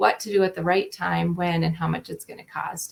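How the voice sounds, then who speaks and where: A woman talks at a fairly quick pace with a slight Minnesota accent. Her voice is somewhat breathy. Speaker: state transportation agency asset manager. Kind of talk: panel discussion.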